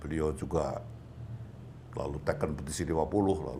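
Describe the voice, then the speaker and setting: A man's very deep, low voice with vocal fry. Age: 80s+. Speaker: retired police general. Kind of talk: interview answer. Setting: at home.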